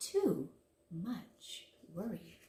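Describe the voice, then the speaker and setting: A woman performs a put-on character voice. The recording carries a slight echo. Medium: read story. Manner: tutting, repetitive.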